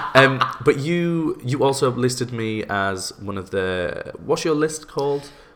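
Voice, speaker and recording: With a British accent and lively intonation, the speaker goes at a very slow pace over noticeable background noise. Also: man, medium pitch for a man. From UK. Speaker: podcast host and baker. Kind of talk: casual interview chat.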